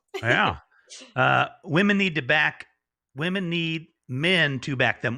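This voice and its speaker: Over a quiet background, a man with an American accent speaks at a fairly high pitch in a bright, sharp tone with vocal fry. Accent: thick Chicago-like. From Indiana. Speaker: live show host. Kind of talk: casual interview chat.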